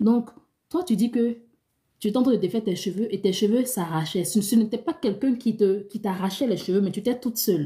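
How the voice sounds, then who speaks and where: In a very clean recording with a silent background, a woman talks at a fairly quick pace with ordinary pitch variation. Her voice is fairly high, somewhat breathy, and dark and mellow in tone. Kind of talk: live stream Q&A, dream interpretation. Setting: live stream. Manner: fast.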